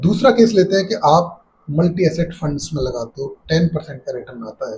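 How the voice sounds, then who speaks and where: A man's intonation is lively as he talks at a moderate speed. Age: 60s. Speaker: personal finance YouTuber. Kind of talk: explainer tutorial.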